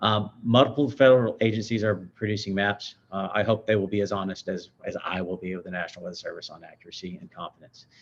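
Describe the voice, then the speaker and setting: Speaking at a very fast pace with hardly any pauses, a man with an American accent uses a fairly low pitch and fairly even intonation, his loudness swinging widely. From Houston, Texas. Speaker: hydrologist. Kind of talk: technical presentation. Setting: meeting room with audience and online.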